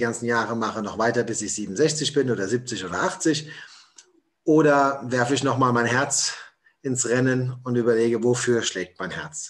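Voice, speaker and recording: A man talks at a moderate pace in an unremarkable speaking voice. His pitch is medium, with ordinary variation. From Hessen, Germany. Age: 40s. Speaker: motivational speaker. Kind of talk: podcast interview.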